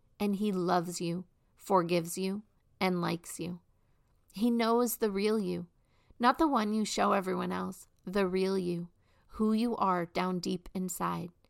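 A woman speaks at medium pitch and a fairly slow pace. She has a normal speaking voice with fairly even intonation. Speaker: podcast host. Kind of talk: devotional reading and teaching with prayer; fervent prayer. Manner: earnest, warm, heartfelt.

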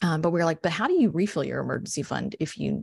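Against a quiet background, a woman speaks at a very fast pace with an American accent. Her voice has vocal fry. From West Texas, San Angelo. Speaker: personal finance coach. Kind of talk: podcast interview.

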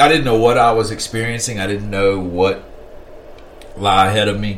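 Over noticeable background noise, a man with a Virginia accent speaks very fast in a fairly low pitch. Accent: Southern US (Virginia). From US South, rural southern Virginia. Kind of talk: casual interview chat.

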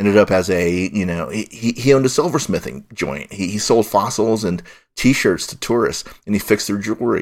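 At a moderate pace, a man with a General American accent speaks at a fairly low pitch. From US West, Golden, Colorado. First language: Mandarin Chinese. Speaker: film critic. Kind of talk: casual chat. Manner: halting.

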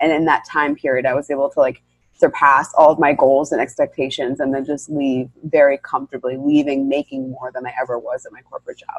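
A woman with an American accent talks at a fairly quick pace with hardly any pauses and big swings in loudness, the sound dry and close with no echo. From New York. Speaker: women's leadership coach. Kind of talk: interview. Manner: articulate.

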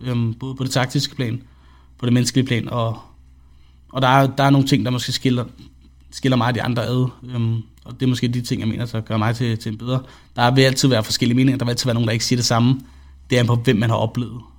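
A man speaks very fast in a flat, monotone delivery at a medium pitch. He leaves long pauses often. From Denmark, Vallensbæk (Copenhagen area). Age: 20s. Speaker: esports coach. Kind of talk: podcast interview.

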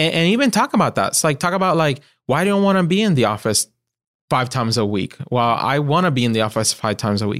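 At a very fast pace, a man with a Puerto Rican accent and a fairly high pitch makes very wide pitch swings while keeping very even loudness, on a very clean recording with a silent background. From Puerto Rico. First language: Spanish. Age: young. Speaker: marketing agency principal. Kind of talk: interview.

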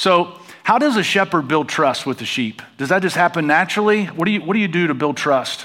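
A high-pitched man with an American accent, lively intonation and a fairly quick pace, over noticeable background noise. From United States. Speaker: pastor. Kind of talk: sermon. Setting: church stage with congregation.

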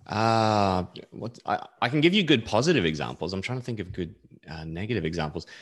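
Fairly quick talk from a man in an Australian accent, fairly low in pitch with very wide pitch swings, over a quiet background. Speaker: software developer. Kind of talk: casual chat.

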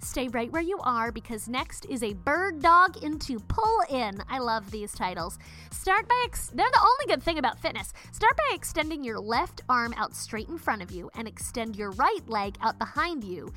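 A woman talks at a moderate pace with hardly any pauses. Her loudness swings widely. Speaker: fitness podcast host. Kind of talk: fitness instruction mixed with comedic commentary. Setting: recording in a closet. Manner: brisk, clear, imperative exercise cues; sarcastic, irreverent, profane asides.

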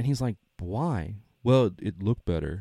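The man's medium-pitched voice carries vocal fry in a dry, close recording with no echo and a silent, very clean background. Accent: American. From US South. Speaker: podcast host. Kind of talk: casual chat.

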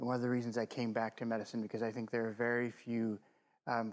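On a very clean recording with a silent background, a man with an American accent speaks at medium pitch in a flat monotone. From Missouri. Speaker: physician and medical school administrator. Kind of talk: interview conversation. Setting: studio.

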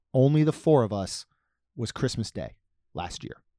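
The recording is very clean, with a silent background and a dry, close sound with no echo. A man with an ordinary speaking voice talks at a fairly high pitch and a moderate pace. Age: 40s. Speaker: podcast host. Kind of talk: casual chat.

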